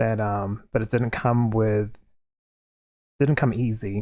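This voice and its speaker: A soft-spoken man has a dark, mellow tone. His pitch is medium, and his intonation is fairly even. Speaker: tarot card reader. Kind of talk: tarot reading to camera. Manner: quiet, soft-spoken.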